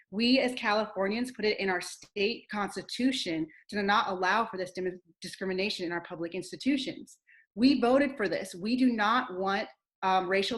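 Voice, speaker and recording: In a quiet background, a woman speaks at a fairly quick pace and medium pitch, her tone passionate with ordinary pitch variation. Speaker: high school English teacher, campaign panelist. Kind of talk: online rally speech. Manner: fast; firm, passionate.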